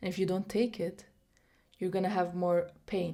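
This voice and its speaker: A woman with a non-native accent speaks at a fairly slow pace. Her voice sits at a medium pitch with a dark, mellow tone. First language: not English. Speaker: vlogger. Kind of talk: motivational monologue to camera. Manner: many fillers and restarts.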